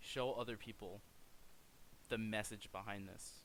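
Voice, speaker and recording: A man speaks quietly at a medium pitch. His tone is bright and sharp. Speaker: gaming streamer. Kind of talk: video outro monologue. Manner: awkward pauses. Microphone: poor mic.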